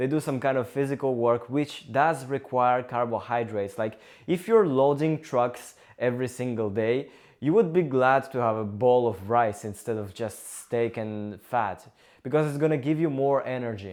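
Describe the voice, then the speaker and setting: A man with a Russian accent speaks at a moderate pace and a medium pitch, with ordinary pitch variation and a quiet background. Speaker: engineering student and vlogger. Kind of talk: casual talk to camera.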